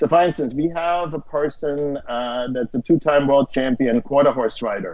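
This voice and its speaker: Pitched fairly high, this man talks at a moderate pace and keeps his intonation fairly even. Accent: German. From Austria. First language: German. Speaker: streaming platform co-founder and CEO. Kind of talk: casual interview chat.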